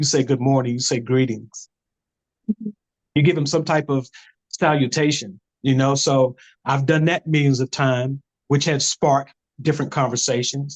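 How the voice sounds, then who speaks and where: Speaking at a moderate pace in an American accent, a man with a fairly high pitch keeps his intonation fairly even and his loudness very even, with long, frequent pauses. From Camden, South Carolina. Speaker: actor. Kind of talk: interview answer.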